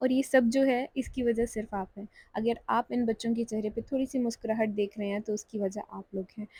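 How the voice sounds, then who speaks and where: A woman speaks at a moderate pace with hardly any pauses. Her voice is somewhat breathy, with a dark, mellow tone and fairly even intonation. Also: fairly high pitch for a woman. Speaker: vlogger and charity volunteer. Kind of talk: vlog voiceover narration. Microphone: clip-on mic makes voice sound bad.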